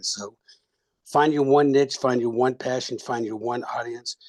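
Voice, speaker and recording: With an ordinary speaking voice, a man talks at medium pitch with fairly even intonation. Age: 60s. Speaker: retired military officer and leadership coach. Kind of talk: webinar audience comment.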